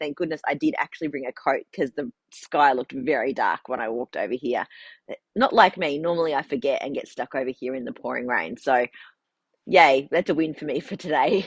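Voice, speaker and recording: Against a quiet background, a woman with an Australian accent speaks at a fairly quick pace with lively intonation in a dry, close sound with no echo. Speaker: farmer and knitting vlogger. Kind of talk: casual vlog chat. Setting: in a shed on the farm.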